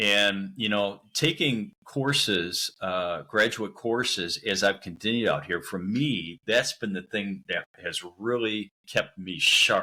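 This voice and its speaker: A man's fairly low, bright, sharp voice, very slow with hardly any pauses and ordinary pitch variation. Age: 60s. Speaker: missionary. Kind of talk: interview conversation.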